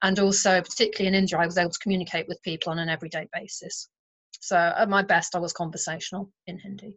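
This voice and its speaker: A woman with a British accent, very fast and flatly monotone, with big swings in loudness. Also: medium pitch for a woman. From England. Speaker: artist. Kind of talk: interview.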